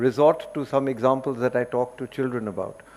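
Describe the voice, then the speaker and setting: A man with a fairly high voice and an Indian accent, at a moderate pace. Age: 70s. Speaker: environmental educator. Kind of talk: seminar talk.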